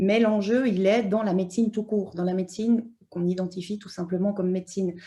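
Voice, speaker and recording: A dark, mellow tone, somewhat breathy, with fairly even intonation. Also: woman. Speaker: anthropologist, university lecturer. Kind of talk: conference talk. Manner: hesitant, many fillers.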